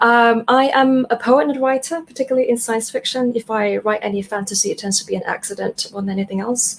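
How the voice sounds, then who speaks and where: A woman talks with a fairly high pitch and ordinary pitch variation. Her pace is very fast, with hardly any pauses. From Australia and Canada. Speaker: poet and science fiction writer. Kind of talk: panel discussion.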